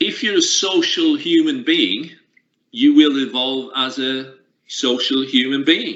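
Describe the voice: A man's bright, sharp tone at a medium pitch, slow in pace, with ordinary pitch variation.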